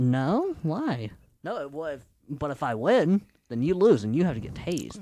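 The tone is dark and mellow. Pitch swings very widely. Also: man, fairly high pitch for a man, moderate pace. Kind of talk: casual chat. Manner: joking.

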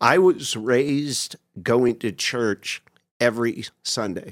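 Here is a man with an unremarkable speaking voice, medium in pitch with ordinary pitch variation. The sound is dry and close, with no echo. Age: 50s. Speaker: doctor in recovery from alcohol addiction. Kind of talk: casual chat.

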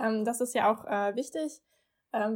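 On a very clean recording with a silent background, a woman with a fairly high pitch speaks in a plain, everyday voice. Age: 20s. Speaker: student advisor. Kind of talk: casual chat.

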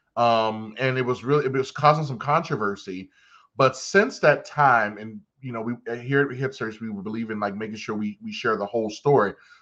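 Against a quiet background, a man at medium pitch speaks in an animated tone at a moderate pace, his loudness swinging widely while his pitch varies ordinarily. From Baltimore, Maryland. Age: 40s. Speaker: podcast host. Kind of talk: casual chat. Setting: studio.

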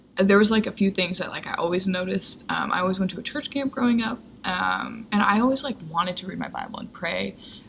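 Talking at a very fast pace, a woman uses a medium pitch with ordinary pitch variation. Noticeable background noise is present. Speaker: podcast co-host. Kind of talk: casual chat, personal testimony. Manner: frequent silent laughing, many fillers.

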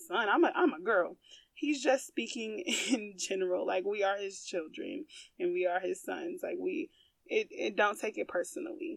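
A woman speaks at a moderate pace in a high, animated voice with very wide pitch swings. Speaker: podcast host. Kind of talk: faith-based monologue.

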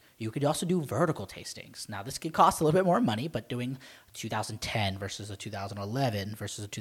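A somewhat breathy voice with an American accent, fairly quick and lively in intonation, in a very clean recording with a silent background. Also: man. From Maryland, US. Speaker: wine podcast co-host. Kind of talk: casual chat.

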